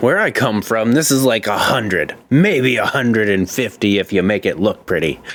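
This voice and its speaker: Medium-pitched male speech in a put-on character voice, moving at a moderate pace. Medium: actual play.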